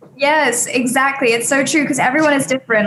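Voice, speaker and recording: Noticeable background noise fills the clip. The woman talks at a very fast pace. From England, Sussex. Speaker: talent agency CEO. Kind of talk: casual chat.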